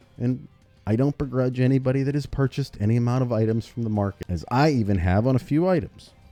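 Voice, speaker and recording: Over music in the background, a man of medium pitch talks very fast with ordinary pitch variation. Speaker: gaming YouTuber. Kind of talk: video essay commentary.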